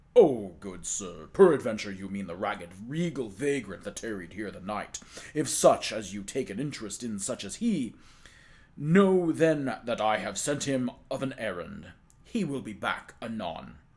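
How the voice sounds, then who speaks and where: Putting on a character voice, a man mumbles at a moderate pace and medium pitch, his pitch swinging very widely. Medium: read story. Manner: mumbling, crafty.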